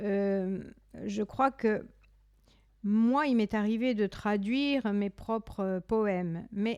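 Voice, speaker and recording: A woman with a Corsican accent and a fairly high pitch speaks at a very slow pace with fairly even intonation and very even loudness, in a very clean recording with a silent background. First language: Corsican (speaking French). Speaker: poet and singer. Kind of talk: interview. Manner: halting.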